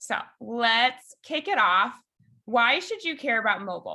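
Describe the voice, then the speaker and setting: A woman with a Chicago accent, fairly high in pitch with a bright, sharp tone. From Chicago, US Midwest. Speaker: software engineering lead, conference speaker. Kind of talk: conference talk over video call. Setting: video call. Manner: animated.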